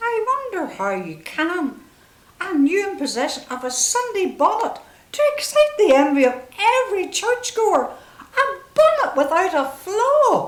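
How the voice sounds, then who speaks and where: A put-on character voice, squeaky and in a rural English accent, moves at a moderate pace with very wide pitch swings. There is a slight echo. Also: woman, extremely high pitch for a woman. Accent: rural English provincial dialect. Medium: stage play. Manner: brisk, chatty, gently teasing.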